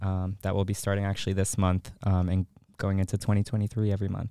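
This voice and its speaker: A man talks at a fairly low pitch in a monotone, flat intonation. The recording is very clean with a silent background and a dry, close sound with no echo. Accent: American. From Chicago. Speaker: arts media manager and musician. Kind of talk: casual interview chat. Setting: podcast studio. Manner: halting, many fillers.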